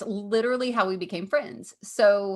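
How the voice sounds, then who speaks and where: A woman with a Southern accent talks at a medium pitch in an animated tone. The background is quiet. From Kentucky. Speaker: comedian and podcast co-host. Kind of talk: casual chat.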